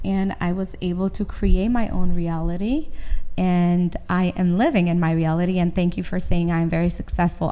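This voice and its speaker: A woman talks with a Romanian accent. Her tone is dark and mellow. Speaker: entrepreneur. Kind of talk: interview.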